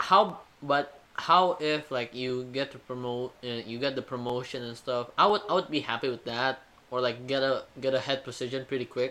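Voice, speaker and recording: Speaking with an Indonesian accent, a man talks at a moderate pace and medium pitch with ordinary pitch variation. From Indonesia, Jakarta. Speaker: university student. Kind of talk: casual chat.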